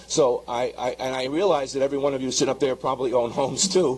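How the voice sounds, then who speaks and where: A man of medium pitch speaks at a very fast pace. His intonation is fairly even, with noticeable background noise around him. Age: 70s. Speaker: retired homeowner, public commenter. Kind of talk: public comment at a hearing. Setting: public hearing room.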